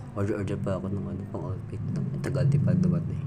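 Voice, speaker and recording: With noticeable background noise and audible room echo, a man speaks at a fairly quick pace and a fairly low pitch. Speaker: vlogger. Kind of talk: casual vlog narration. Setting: outdoors, walking in a busy market.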